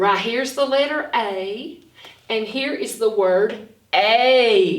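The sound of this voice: The pace is slow, with ordinary pitch variation. Strong room echo surrounds the voice. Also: woman, fairly high pitch for a woman.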